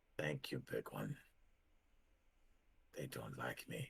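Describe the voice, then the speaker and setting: This man puts on a character voice, pitched very deep and low, and delivers his lines fairly slowly. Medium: actual play. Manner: halting, broken phrasing.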